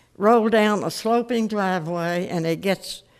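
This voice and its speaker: The woman speaks at a fairly slow pace. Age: 90s. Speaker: resident speaking at council public forum. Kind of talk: public comment at city council meeting.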